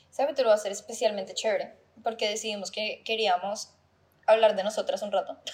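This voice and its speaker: Speaking at a very fast pace, a woman has a fairly high pitch. Her intonation stays fairly even. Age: 20s. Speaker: podcast co-host. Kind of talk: casual chat.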